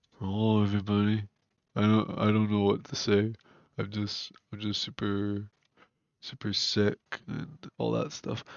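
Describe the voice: A man puts on a nasal character voice at fairly low pitch, with monotone, flat intonation. He speaks at a moderate pace with long, frequent pauses.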